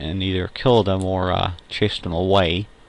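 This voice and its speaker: A man's very deep, low voice at a moderate pace, in monotone, flat intonation. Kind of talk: casual talk to camera. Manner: hesitant, with frequent fillers.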